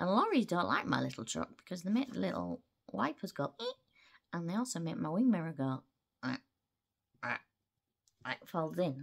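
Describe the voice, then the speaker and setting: The background is quiet. A woman talks at a fairly quick pace. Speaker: travel vlogger. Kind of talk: casual vlog chat. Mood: playful, chatty. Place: home room. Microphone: phone near.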